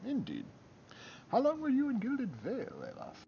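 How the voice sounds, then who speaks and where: Putting on a character voice, a man speaks at a moderate pace with an extremely high pitch. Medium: game stream. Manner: genteel, affected.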